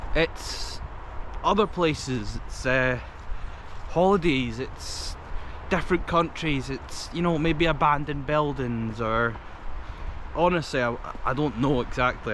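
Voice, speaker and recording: In a Scottish accent, a man with a fairly high pitch talks at a fairly slow pace with long, frequent pauses and ordinary pitch variation, with audible room echo and noticeable background noise. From Scotland. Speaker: vlogger. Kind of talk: casual vlog talk to camera. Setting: outdoors in a forest, walking. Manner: hesitant, many fillers.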